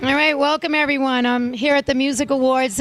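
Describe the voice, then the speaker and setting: A woman speaks at a fairly quick pace in a high voice with fairly even intonation, over noticeable background noise. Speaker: talk show host. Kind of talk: interview question.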